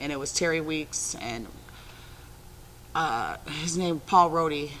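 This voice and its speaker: A bright, sharp tone with fairly even intonation. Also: woman. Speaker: former prisoner. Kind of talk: interview. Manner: assertive.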